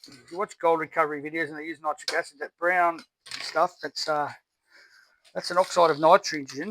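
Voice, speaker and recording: Mumbling from a man at a high pitch, moderate pace, with a dry, close sound and no echo. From Australia. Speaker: scrap recycling YouTuber. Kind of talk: casual tutorial while dismantling electronics. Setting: outdoors in backyard. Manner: mumbly.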